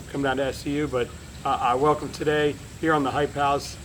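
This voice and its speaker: Against noticeable background noise, a man with an American accent talks at a fairly quick pace in a fairly high voice. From South Florida. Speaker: wrestling podcast host. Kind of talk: casual interview. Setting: at home.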